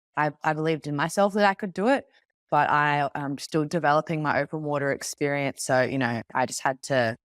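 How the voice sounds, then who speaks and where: Speaking fairly quickly with an Australian accent, a woman has a very deep, low pitch and ordinary pitch variation, captured very cleanly with a silent background and a dry, close sound with no echo. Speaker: Olympic open water swimmer. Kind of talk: interview.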